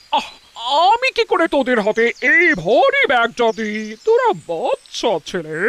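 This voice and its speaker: A woman puts on a cartoonish character voice with high pitch. She speaks at a moderate pace, and the sound is dry and close with no echo. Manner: chatty, affectionate.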